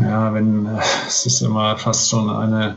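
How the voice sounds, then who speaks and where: A man speaks very slowly at a medium pitch. Noticeable background noise runs under his voice. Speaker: business coach. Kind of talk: interview. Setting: remote call from hotel. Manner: hesitant, many fillers. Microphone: poor connection.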